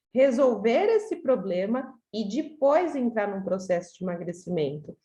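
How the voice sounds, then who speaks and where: A woman's fairly high voice, dark and mellow in tone, with very wide pitch swings and a fairly slow pace. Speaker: weight-loss coach. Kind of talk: online group talk.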